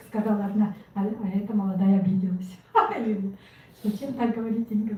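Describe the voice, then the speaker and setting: A woman at a very fast pace. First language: Yakut (speaking Russian). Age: 60s. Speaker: network marketing member. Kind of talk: testimony.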